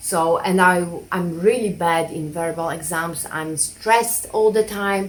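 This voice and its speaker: This woman talks fairly slowly. Her speech carries a non-native accent. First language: not English. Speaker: minimalism vlogger. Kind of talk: casual vlog monologue. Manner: hesitant, many fillers.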